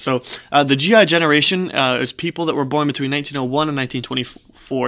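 A man with a fairly high, bright, sharp voice talks at a very fast pace with ordinary pitch variation. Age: 20s. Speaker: campus ministry discussion leader. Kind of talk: solo talk recap. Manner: halting, many fillers.

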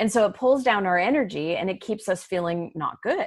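A woman speaks at a moderate pace in a normal speaking voice, with a medium pitch, lively intonation and an American accent. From Arizona. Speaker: life coach and author. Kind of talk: interview.

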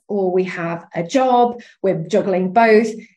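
A woman speaks with a British accent. Her tone is animated and enthusiastic. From UK. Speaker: sales and strategy coach. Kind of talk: interview chat. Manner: animated, enthusiastic.

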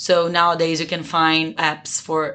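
A woman's fairly low-pitched voice in a Brazilian accent, over a quiet background. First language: Portuguese. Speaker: business school student. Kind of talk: interview.

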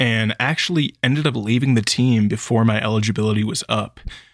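A man's medium-pitched voice with an American accent, ordinary pitch variation and a moderate pace, on a very clean recording with a silent background. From California, Sacramento area. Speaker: running coach, podcast host. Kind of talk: solo podcast monologue.

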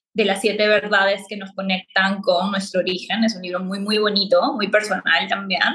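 Flat, monotone intonation from a woman at a medium pitch. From Peru. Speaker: spiritual coach and astrologer. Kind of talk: podcast interview.

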